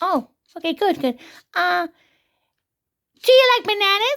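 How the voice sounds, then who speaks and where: An extremely high, squeaky put-on character voice delivers its lines at a moderate pace. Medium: puppet show. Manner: calm, clipped, confident.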